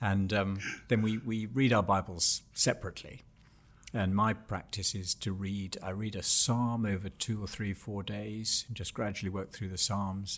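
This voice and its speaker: This man speaks with an English accent. His pitch sits fairly low. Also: moderate pace. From England. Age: 60s. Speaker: author and Bible teacher. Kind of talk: interview.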